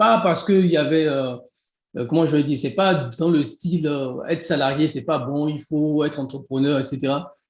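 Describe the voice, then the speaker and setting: A man speaks with a Beninese accent. His pitch is fairly high, with ordinary variation. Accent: Beninese (African French). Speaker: e-commerce entrepreneur and coach. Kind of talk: interview. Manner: fast.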